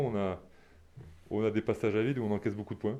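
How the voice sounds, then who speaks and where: The voice has a dark, mellow tone and fairly even intonation, set against a quiet background. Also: man. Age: 30s. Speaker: professional rugby player. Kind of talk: sports interview. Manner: halting, many repetitions and hesitations.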